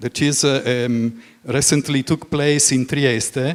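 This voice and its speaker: Speaking at a very slow pace, a man talks with an Italian accent. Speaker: moderator, journalist. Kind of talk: panel moderation. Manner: halting.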